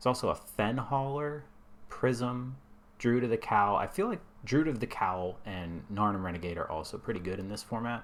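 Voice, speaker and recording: We hear a male speaker. The rise and fall of his pitch is typical. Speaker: video game streamer. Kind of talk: gameplay commentary. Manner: hesitant, many fillers.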